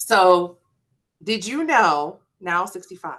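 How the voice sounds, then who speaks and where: Her tone bright and sharp, a woman speaks with very wide pitch swings. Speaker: student engagement presenter. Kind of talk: workshop presentation.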